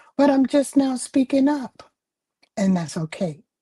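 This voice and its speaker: Speaking very slowly with lively intonation, a woman has a dark, mellow tone that is somewhat breathy. The sound is dry and close, with no echo. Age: 70s. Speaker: author and spiritual speaker. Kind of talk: livestream talk with poem reading.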